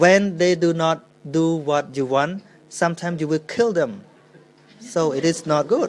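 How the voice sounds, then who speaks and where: Speaking with a Khmer accent, a man uses a high pitch with ordinary pitch variation. His pace is fairly slow, broken by long, frequent pauses. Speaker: Buddhist monk. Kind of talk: dharma talk Q&A. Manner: halting.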